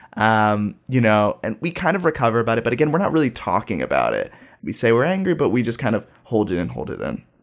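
In a General American accent, a man talks at medium pitch with vocal fry and very wide pitch swings. He goes at a very fast pace on a very clean recording with a silent background. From US Midwest, Dayton, Ohio. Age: 20s. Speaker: high school teacher. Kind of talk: casual chat.

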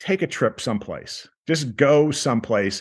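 This man has an ordinary speaking voice with a fairly high pitch. He talks at a fairly slow pace over a quiet background. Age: 60s. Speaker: tour business owner. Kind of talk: interview.

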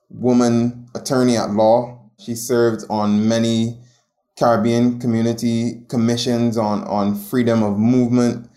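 A dark, mellow tone with a Barbadian accent, a monotone, flat intonation and a fairly slow pace. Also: man. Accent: Barbadian (Bajan) English. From Barbados. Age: 20s. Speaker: journalist. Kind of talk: interview.

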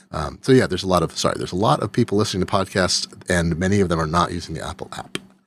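A man's very deep, low voice at a very fast pace, hardly any pauses and ordinary pitch variation, over noticeable background noise. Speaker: tech podcast host. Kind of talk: casual chat. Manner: joking, rambling.

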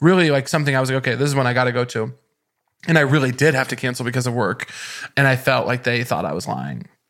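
Speaking at a very fast pace with an American accent, a man uses a medium pitch, ordinary pitch variation and vocal fry. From rural Missouri. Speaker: comedian. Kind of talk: casual chat.

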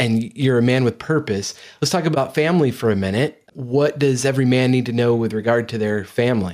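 A man with an ordinary speaking voice, ordinary pitch variation and a fairly quick pace with hardly any pauses. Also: medium pitch for a man, very clean recording, silent background. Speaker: podcast host. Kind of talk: interview.

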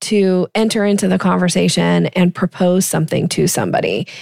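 The recording is very clean, with a silent background. A woman speaks at a moderate pace and medium pitch in a normal speaking voice. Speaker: sales coach. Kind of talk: casual interview conversation.

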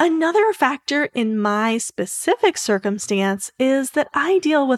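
Recorded very cleanly with a silent background and a dry, close sound free of echo, a woman speaks fairly slowly with lively intonation. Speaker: podcast host and educator. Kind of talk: scripted monologue. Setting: solo recording. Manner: reads from script, clear and organized.

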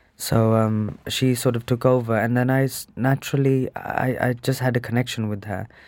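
A man speaks at a moderate pace, with hardly any pauses. His pitch is medium and his intonation is monotone and flat. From England, Birmingham. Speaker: dancer and choreographer. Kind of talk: interview.

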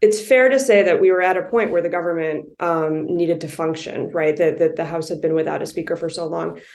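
A woman with a normal speaking voice speaks at a fairly quick pace with hardly any pauses. Her pitch is fairly low, with ordinary variation. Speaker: policy advocate and lawyer. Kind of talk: interview conversation.

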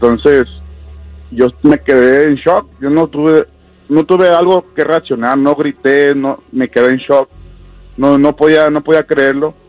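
Music plays in the background as a man speaks at a fairly slow pace with fairly even intonation, the sound dry and close with no echo. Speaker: caller sharing his story. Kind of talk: tearful confession of a tragedy, broken by sobs. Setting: phone call to radio show. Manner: halting, choked with emotion, voice catching on words; repeating himself, stumbling over words.

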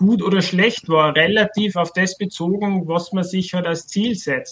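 A man's high-pitched voice, an Austrian accent, fairly even intonation. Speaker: writer and author on socialist theory. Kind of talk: casual discussion. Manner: halting, many fillers.

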